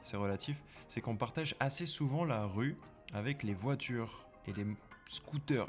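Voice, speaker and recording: A man's voice shows ordinary pitch variation while music plays in the background. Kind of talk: vlog voice-over narration. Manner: casual, joking.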